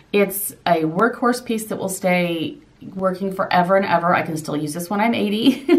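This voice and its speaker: A woman with an American accent and lively intonation at a moderate pace, amid noticeable background noise. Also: medium pitch for a woman. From southern Indiana. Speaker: lifestyle vlogger. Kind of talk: Q&A vlog.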